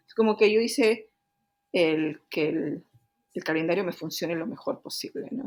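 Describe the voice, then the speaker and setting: Her intonation lively, a woman talks at a medium pitch. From Peru, Cusco. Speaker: engineering director and researcher. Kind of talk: interview. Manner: hesitant fillers.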